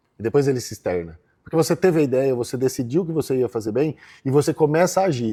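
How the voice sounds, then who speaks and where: Over a silent background in a very clean recording, a man speaks at a very fast pace. His tone is dark and mellow. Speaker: agribusiness lawyer. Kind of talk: interview answer.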